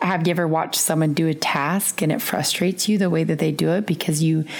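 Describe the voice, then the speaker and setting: Over noticeable background noise, a woman with a fairly low pitch speaks at a very fast pace. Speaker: podcast co-host. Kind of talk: podcast monologue on leadership.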